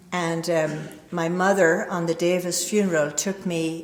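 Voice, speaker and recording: A woman speaks with an American accent, her pitch fairly low and her intonation monotone and flat. Audible room echo and noticeable background noise surround her voice. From Northern Ireland. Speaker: recovery speaker. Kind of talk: recovery testimony talk. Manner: hesitant fillers.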